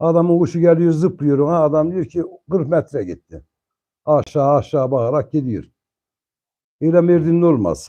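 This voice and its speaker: A man's dark, mellow voice, fairly high in pitch, with ordinary pitch variation, a moderate pace and long, frequent pauses. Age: 50s. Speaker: pigeon fancier. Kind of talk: casual chat.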